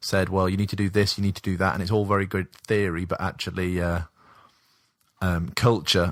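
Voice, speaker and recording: With an English accent, a man speaks fairly quickly in a very deep, low pitch and a monotone, flat intonation. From England. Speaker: missionary, podcast guest. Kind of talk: casual chat. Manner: hesitant, many fillers.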